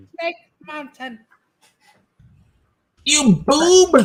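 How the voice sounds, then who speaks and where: A put-on character voice with a high pitch. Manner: sneering, scolding.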